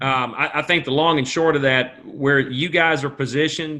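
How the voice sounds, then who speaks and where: A man's medium-pitched voice with a Southern US accent and fairly even intonation. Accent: Southern drawl. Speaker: rail company official. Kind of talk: webinar panel answer.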